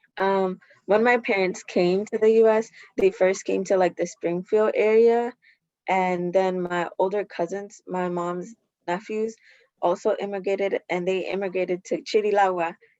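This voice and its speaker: With an American accent, a woman at medium pitch uses an ordinary speaking voice, fairly even intonation and a moderate pace. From Alexandria, Virginia, US. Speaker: community leader. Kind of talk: panel discussion.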